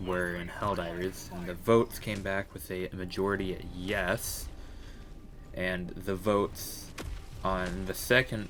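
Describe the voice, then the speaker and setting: A quiet man with a very deep, low pitch at a fairly slow pace, in monotone, flat intonation. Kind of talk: gaming commentary voiceover. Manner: quiet, hesitant.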